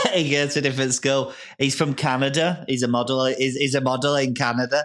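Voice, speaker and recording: A man speaks very fast at a medium pitch with very even loudness. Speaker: comedian. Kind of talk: casual chat. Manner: animated.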